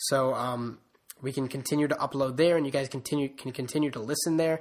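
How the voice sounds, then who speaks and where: The delivery is very fast. The intonation is monotone and flat. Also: man, fairly high pitch for a man. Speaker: sports podcast host. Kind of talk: solo podcast talk. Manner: monotonous; hesitant, many fillers.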